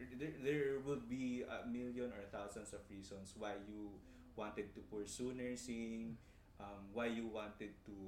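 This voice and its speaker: A man's medium-pitched voice with a Filipino accent, a fairly slow pace and ordinary pitch variation. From Philippines. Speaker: nurse and health researcher. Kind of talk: interview, casual chat.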